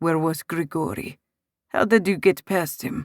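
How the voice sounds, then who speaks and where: A woman speaks at a moderate pace in a put-on character voice, fairly low for a woman. The sound is dry and close, with no echo. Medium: read story. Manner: warm, wry.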